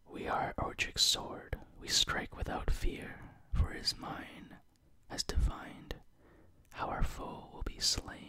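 Soft-spoken whispering moves at a very slow pace with long, frequent pauses. The sound is dry with no echo, over noticeable background noise. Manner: soft ASMR whisper reading card text.

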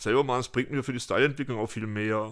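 A man talks with fairly even intonation. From Fulda, Hesse, Germany. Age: 50s. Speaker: graffiti artist. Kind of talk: casual interview. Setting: at home. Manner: hesitant with many fillers.

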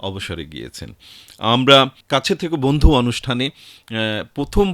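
Vocal fry runs through this man's voice as his pitch swings very widely, captured in a dry, close sound with no echo on a very clean recording with a silent background. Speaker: radio host and station chief. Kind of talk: radio interview. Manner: formal.

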